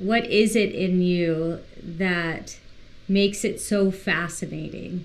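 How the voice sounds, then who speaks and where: A woman with a medium pitch talks at a very slow pace. Her intonation stays fairly even. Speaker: podcast co-host. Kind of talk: podcast interview.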